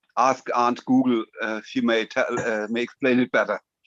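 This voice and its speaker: Speaking in a German accent, a man with a medium pitch keeps a moderate pace and a monotone, flat intonation in a dry, close sound with no echo. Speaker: typewriter enthusiast. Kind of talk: casual chat. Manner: halting.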